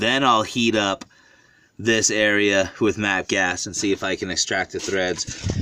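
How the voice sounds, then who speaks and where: A man speaks in a bright, sharp tone at a fairly low pitch. He talks at a fairly slow pace with fairly even intonation. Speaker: auto technician. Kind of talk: tutorial. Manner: casual, with filler words.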